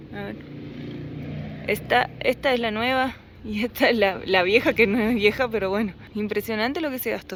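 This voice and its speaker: Her pitch is fairly high and varies in an ordinary way. This woman keeps a moderate pace, with long, frequent pauses. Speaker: motorcycle travel vlogger. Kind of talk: casual vlog chat.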